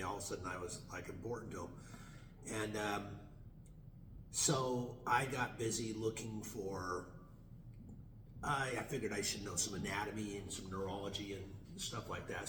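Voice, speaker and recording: Against noticeable background noise and audible room echo, a man speaks at a moderate pace with a fairly low pitch, fairly even intonation, and long, frequent pauses. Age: 60s. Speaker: chiropractor and student in animal chiropractic course. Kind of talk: interview, telling his story. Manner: halting, many fillers and restarts.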